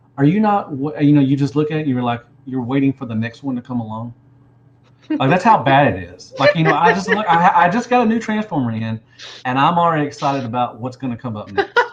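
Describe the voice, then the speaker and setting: Over noticeable background noise, a man with a Southern US accent races along at a very fast pace, his fairly high voice making very wide pitch swings. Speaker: toy collector video host. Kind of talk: casual interview.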